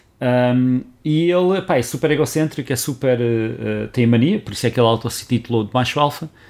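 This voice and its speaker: On a very clean recording with a silent background, a man uses an ordinary speaking voice at medium pitch, moving at a fairly quick pace with hardly any pauses and ordinary pitch variation. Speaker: podcast co-host. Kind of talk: casual chat.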